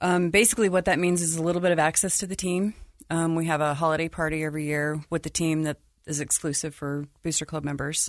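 Speaking at a very fast pace, a woman with an American accent uses a fairly low pitch and fairly even intonation. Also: quiet background. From Utah, Salt Lake City. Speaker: financial advisor and booster club president. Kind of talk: casual chat.

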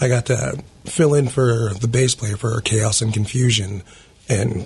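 Here is a man with an ordinary speaking voice. His pitch is medium, with fairly even intonation. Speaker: band singer. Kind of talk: casual chat. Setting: studio.

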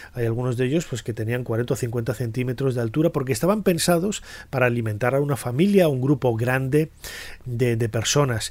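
Medium-pitched male speech at a fairly quick pace, with ordinary pitch variation. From Spain, León. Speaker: podcast host, Egyptology presenter. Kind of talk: solo educational talk. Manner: halting, many fillers and repetitions.

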